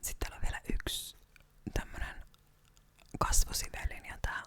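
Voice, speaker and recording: A woman whispering over noticeable background noise. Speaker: ASMR creator. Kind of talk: ASMR whisper video. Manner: whispered; calm, soft-spoken.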